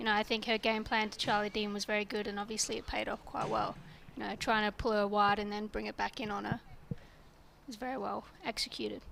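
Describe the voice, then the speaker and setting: A woman's medium-pitched voice in an Australian accent, very fast and monotone with flat intonation. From Australia, Perth. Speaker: local cricketer, guest commentator. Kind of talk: live commentary.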